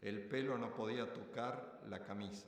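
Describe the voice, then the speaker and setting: With audible room echo, a man speaks very slowly at a fairly low pitch with ordinary pitch variation. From Argentina, Rosario. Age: 60s. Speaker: retired student interviewee. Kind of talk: interview testimony.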